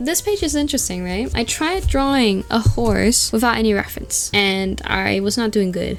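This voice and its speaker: A woman with a non-native accent at a moderate pace, music in the background. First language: not English. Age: young. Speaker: artist YouTuber. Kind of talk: casual sketchbook tour narration.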